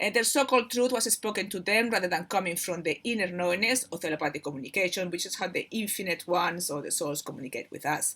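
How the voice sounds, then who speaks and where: A woman with a Spanish accent races along at a very fast pace with hardly any pauses, using lively intonation, a medium pitch and a bright, sharp tone. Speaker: spiritual channel host. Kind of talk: informal spiritual talk, partly reading. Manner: halting, many fillers and repetitions.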